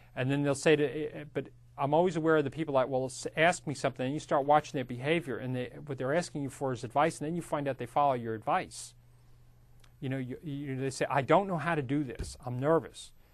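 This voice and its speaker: Against a quiet background, a man with a fairly high pitch speaks at a very fast pace with fairly even intonation. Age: 50s. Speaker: real estate instructor. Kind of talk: lecture. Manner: casual, conversational.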